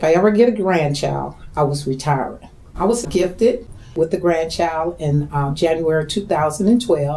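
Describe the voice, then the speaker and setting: A woman with a fairly low pitch, an ordinary speaking voice, lively intonation and a moderate pace. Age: 60s. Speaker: line dance instructor and choreographer. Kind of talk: documentary interview.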